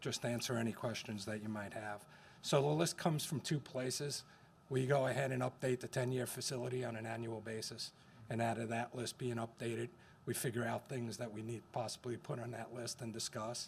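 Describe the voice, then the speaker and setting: A man at medium pitch, somewhat breathy, at a fairly quick pace. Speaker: school district facilities staff. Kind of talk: board meeting presentation. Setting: school board meeting. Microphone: too quiet at first, moved closer to mic.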